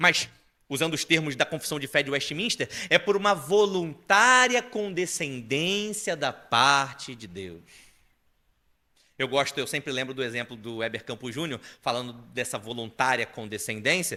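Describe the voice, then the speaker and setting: On a very clean recording with a silent background, a man with a fairly high pitch and a bright, sharp tone speaks at a fairly slow pace, making very wide pitch swings and big swings in loudness. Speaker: preacher. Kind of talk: sermon.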